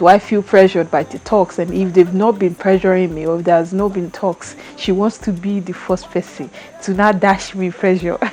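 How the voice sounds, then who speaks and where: With a Yoruba accent and a medium pitch, a woman talks at a moderate pace with hardly any pauses over noticeable background noise. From Nigeria (Yoruba). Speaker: vlogger. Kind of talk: casual chat. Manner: animated; halting.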